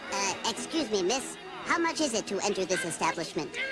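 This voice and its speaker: Over loud background noise, a man uses a put-on character voice pitched high. He talks at a fairly quick pace. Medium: voice reel. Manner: overly formal.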